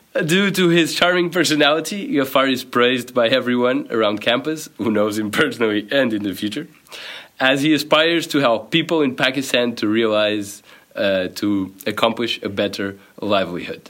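The voice has a Portuguese accent and lively intonation. It moves at a moderate pace. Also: man, medium pitch for a man. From Portugal. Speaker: podcast host, student. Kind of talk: reading aloud; interview. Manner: hesitant.

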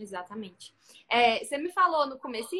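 Raising and projecting her voice, a woman speaks fairly quickly at a high pitch with lively intonation. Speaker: live stream host for photographers. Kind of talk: interview on live stream.

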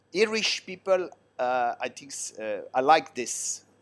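This man has an Italian accent. His pitch varies in an ordinary way. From Switzerland, Italian parents from southern Italy. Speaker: long-term expat interviewee. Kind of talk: casual interview.

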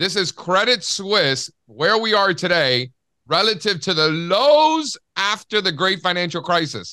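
In a very clean recording with a silent background, a man projects a raised, high-pitched voice with a bright, sharp tone, lively intonation and very even loudness. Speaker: podcast host. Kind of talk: casual chat.

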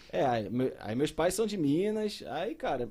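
A man with a slight mineiro accent speaks in a dark, mellow tone, fairly high in pitch and marked by very wide pitch swings. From Brazil, São José dos Campos area. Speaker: biology teacher. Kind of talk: casual chat.

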